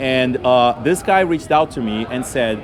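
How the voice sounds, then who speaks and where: Against noticeable background noise, a man with a non-native accent speaks at a medium pitch with ordinary pitch variation. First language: not English. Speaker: pilot and aviation social media creator. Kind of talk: interview. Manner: halting with fillers.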